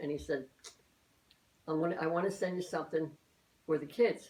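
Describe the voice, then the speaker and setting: A woman with a Philadelphia accent and a very deep, low pitch, at a fairly quick pace with fairly even intonation. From Philadelphia, US. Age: 80s+. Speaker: elderly mother interviewed by her daughter. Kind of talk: family oral-history interview. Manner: halting, many repetitions and false starts.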